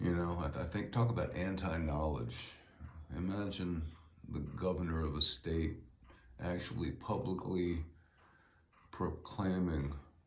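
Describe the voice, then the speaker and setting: A man talks at a fairly slow pace with long, frequent pauses and audible room echo. His very deep, low voice is somewhat breathy, with ordinary pitch variation. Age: 60s. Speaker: podcaster and author. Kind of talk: solo podcast monologue. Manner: casual, halting with fillers.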